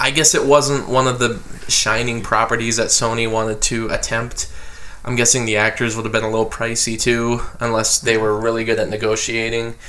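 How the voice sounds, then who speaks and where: Noticeable background noise and audible room echo surround a fairly quick, monotone, flat delivery. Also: man, medium pitch for a man. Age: 20s. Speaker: film podcast host. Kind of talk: casual chat.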